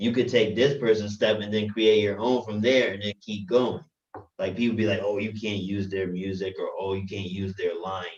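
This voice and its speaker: A man with a plain, everyday voice talks at a moderate pace. His pitch is fairly low and his intonation fairly even. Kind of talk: casual group discussion about poetry. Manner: casual, conversational.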